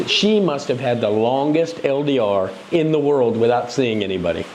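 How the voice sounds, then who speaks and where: With an American accent, a man speaks at a fairly slow pace over noticeable background noise. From United States. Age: 50s. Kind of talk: casual interview conversation.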